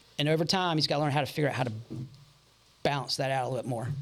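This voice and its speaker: A man speaks with an American accent. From Charlotte, North Carolina. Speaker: auto repair shop owner. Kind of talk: casual interview.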